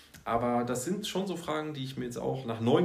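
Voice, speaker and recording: A man talks at a moderate pace with ordinary pitch variation. Room echo is audible and background noise is noticeable. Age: 30s. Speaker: school social worker. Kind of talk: casual chat. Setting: office.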